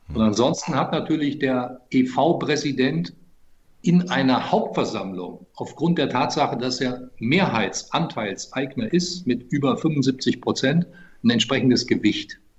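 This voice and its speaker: The voice is somewhat breathy with lively intonation. It moves at a fairly slow pace. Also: man, medium pitch for a man. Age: 50s. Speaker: club presidential candidate, businessman. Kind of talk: podcast interview.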